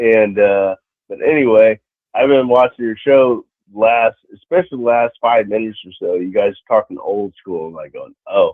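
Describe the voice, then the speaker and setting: A man speaks fairly slowly. His loudness swings a lot. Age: 60s. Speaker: caller. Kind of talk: casual chat. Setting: phone call. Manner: halting, repeats words.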